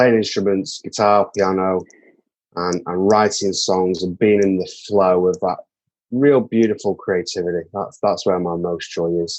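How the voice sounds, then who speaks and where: Music plays in the background as someone with a British accent speaks at a fairly slow pace. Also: man, fairly low pitch for a man, ordinary pitch variation. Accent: English (UK). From northern England, Manchester. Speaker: songwriter and mental health advocate. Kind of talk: podcast interview. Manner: hesitant, with filler words.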